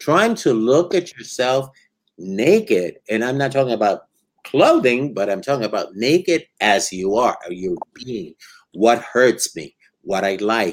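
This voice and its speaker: With an unremarkable speaking voice at a medium pitch, a man talks at a fairly slow pace with lively intonation. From Puerto Rico and New York. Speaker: psychologist. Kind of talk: interview.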